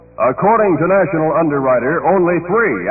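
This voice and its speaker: Background noise is noticeable as a man speaks at a moderate pace. His voice is high-pitched with ordinary pitch variation. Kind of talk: radio commercial read. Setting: 1960s AM radio broadcast.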